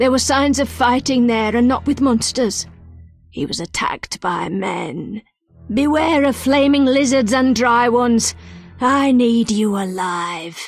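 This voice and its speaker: A woman's put-on character voice, high in pitch with lively intonation, at a fairly slow pace over faint background music. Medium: video game. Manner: terse, cryptic.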